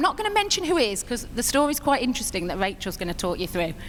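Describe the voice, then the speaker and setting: A woman with a British accent, high-pitched and very fast, her pitch swinging very widely, amid noticeable background noise and audible room echo. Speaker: network marketing distributor. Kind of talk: stage speech. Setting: stage with audience. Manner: quavering.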